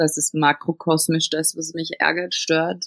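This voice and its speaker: Dry and close with no echo, a woman's fairly low-pitched, unremarkable speaking voice. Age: 20s. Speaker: cabaret artist and actress. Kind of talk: interview.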